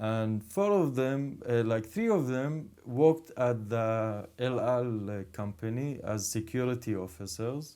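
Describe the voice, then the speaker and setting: In an Arabic accent, a man speaks at medium pitch and a fairly slow pace with a dark, mellow tone, ordinary pitch variation and hardly any pauses. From Israel, Druze community. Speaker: podcast host. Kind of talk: casual conversation.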